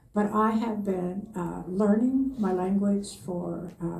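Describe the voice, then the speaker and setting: A woman's voice with audible room echo. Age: 80s+. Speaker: elder. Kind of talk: panel testimony. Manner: halting, many fillers.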